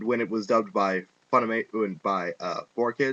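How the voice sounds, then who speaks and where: Here is a man with a normal speaking voice at medium pitch and ordinary pitch variation. He talks at a moderate pace, and the sound is dry and close with no echo. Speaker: anime reviewer. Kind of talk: casual rant to webcam.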